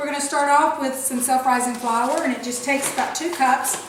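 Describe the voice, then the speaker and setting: A woman with a Southern US accent, high-pitched and fairly quick, with fairly even intonation amid noticeable background noise and audible room echo. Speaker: cooking show host. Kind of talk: tutorial. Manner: fast.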